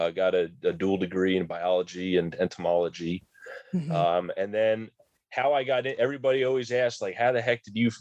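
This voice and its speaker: A normal speaking voice with an American accent comes through. It moves at a fairly quick pace with ordinary pitch variation. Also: man. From rural New Jersey. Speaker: army entomologist. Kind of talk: interview.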